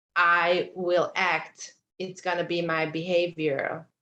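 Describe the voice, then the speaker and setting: Speaking at a very slow pace in a Hungarian accent, a woman has a bright, sharp tone and monotone, flat intonation. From Hungary. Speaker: mentee. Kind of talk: mentoring session. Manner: halting.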